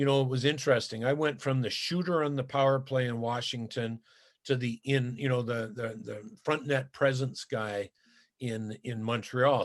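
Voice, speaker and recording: A man speaks at a moderate pace with a Canadian accent. His pitch is medium, and the background is quiet. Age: 60s. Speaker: former pro hockey player. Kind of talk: interview. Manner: halting, many fillers and repetitions.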